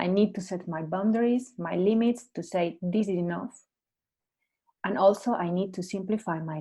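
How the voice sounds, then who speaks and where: At a moderate pace, a woman with a Spanish accent speaks in a dark, mellow tone with ordinary pitch variation. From Spain. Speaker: coach and Alexander Technique teacher. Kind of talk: casual chat.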